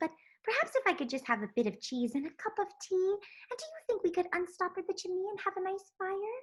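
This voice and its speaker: A woman puts on a squeaky character voice at an extremely high pitch. She speaks at a fairly quick pace. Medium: read story. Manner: polite, proper.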